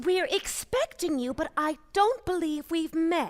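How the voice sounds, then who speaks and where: A put-on character voice that sounds female, pitched extremely high, moves at a fairly slow pace. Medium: audio drama. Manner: sweet, polite, soothing.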